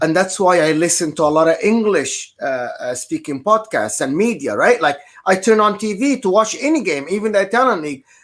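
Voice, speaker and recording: With an Arabic accent, a man speaks at a fairly quick pace with hardly any pauses. His voice is high, and his pitch swings very widely. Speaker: football podcast panelist. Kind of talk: casual chat.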